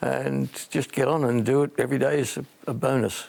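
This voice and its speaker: An Australian-accented man over noticeable background noise. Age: 70s. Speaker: retiree motorcycle club member. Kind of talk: interview and documentary talk.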